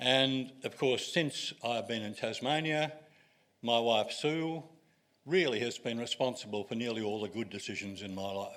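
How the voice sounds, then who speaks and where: A man with an Australian accent speaks at a moderate pace in a medium-pitched voice with ordinary pitch variation. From Australia (Sydney). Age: 80s+. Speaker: retired wine writer. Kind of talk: public talk.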